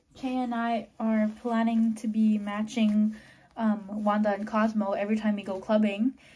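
A woman speaks with a dark, mellow tone. Her voice is somewhat breathy. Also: moderate pace. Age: 20s. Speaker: vlogger. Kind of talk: casual vlog talk to camera. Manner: animated. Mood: cheerful, chatty. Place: home room. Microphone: phone near.

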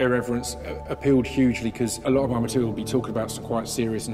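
Clear music plays in the background while a man talks at a very fast pace. His pitch varies in an ordinary way. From UK. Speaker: spoken word poet. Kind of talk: interview answer. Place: hall.

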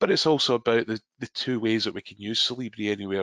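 Speaking very fast in a Scottish accent, a man with a medium pitch comes across with a dry, close sound and no echo. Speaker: software trainer. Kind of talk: webinar tutorial. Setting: online webinar.

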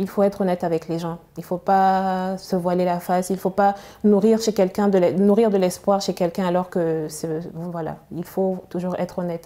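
A woman's dark, mellow voice at a moderate pace, with monotone, flat intonation. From Chad. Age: young. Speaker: novelist and biomedical engineer; guest. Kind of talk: TV interview; interview answer. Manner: halting, repeats words. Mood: calm, measured. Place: studio. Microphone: lapel.

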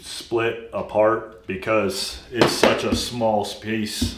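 There is light background noise. The room echo is audible. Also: man. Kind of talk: casual workshop tutorial chat. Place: workshop.

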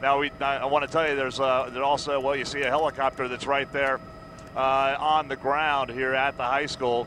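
A man talks at a moderate pace in a flat monotone with a bright, sharp tone. The sound is dry with no echo, over light background noise. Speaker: helicopter news reporter. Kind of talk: live commentary. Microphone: headset.

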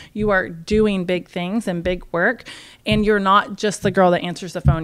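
A woman speaks at a moderate pace with an American accent. Her pitch sits in the middle range, and the background is quiet. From Oklahoma, Tulsa; Oklahoma. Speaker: podcast host, trades business owner; podcast host. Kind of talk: casual interview. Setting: conference venue. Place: meeting room. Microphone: studio mic.

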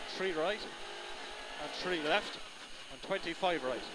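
The speaker is a man, with noticeable background noise behind him. The sound is dry, with no echo. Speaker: rally co-driver. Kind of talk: rally pacenotes read aloud in-car during a stage. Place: car. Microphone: helmet.

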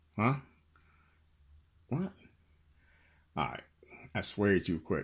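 Very slowly, a man speaks. The background is quiet. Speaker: lockpicking hobbyist. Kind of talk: tutorial. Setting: at home at night. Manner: soft-spoken. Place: home room. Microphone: phone near.

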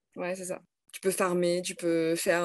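At a moderate pace, a woman speaks in an ordinary speaking voice with a fairly low pitch. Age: 30s. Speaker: teacher; teacher, interviewee. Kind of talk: casual interview. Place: home room. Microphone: video call.

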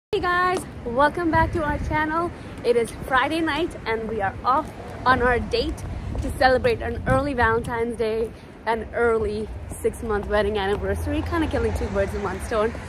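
A woman at a moderate pace, dry sound with no echo, and noticeable background noise. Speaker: vlogger. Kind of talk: casual vlog chat. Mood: excited, cheerful. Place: street. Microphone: phone near.

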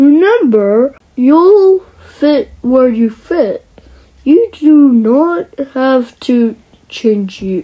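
A woman puts on a cartoonish character voice, high-pitched with very wide pitch swings, at a very slow pace with long, frequent pauses. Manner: calm, wise, reassuring.

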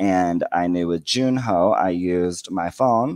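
An unremarkable speaking voice from a man with an American accent, fairly low in pitch, ordinary pitch variation, over a quiet background. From United States. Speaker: bilingual educator and teacher trainer; bilingual educator, teacher trainer. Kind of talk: conference presentation. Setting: video call. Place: home room. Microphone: headset.

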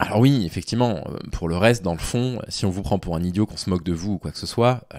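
With a very deep, low pitch, a man talks at a fairly quick pace with ordinary pitch variation against a quiet background. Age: 30s. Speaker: YouTuber and Twitch streamer commenting on dating advice; YouTuber, Twitch streamer commenting on dating advice. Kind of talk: live stream commentary reading and critiquing a forum post. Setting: live on Twitch. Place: home room. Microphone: studio mic.

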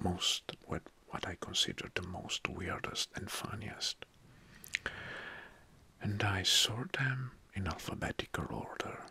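A man whispering at a very slow pace, with long, frequent pauses. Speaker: video host. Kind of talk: casual explainer talk. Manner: soft-spoken close-mic ASMR voice. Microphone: studio mic.

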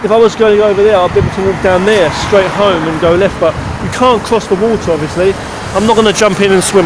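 Very fast speech from a man over loud background noise. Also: dry sound with no echo. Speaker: vlogger. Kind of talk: casual vlog chat. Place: street. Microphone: phone near.

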